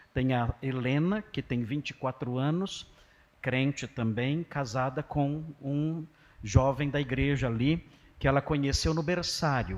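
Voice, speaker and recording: Against a quiet background, a plain, everyday voice moves at a fairly slow pace with ordinary pitch variation. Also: man. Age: 60s. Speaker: pastor. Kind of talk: sermon. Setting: church.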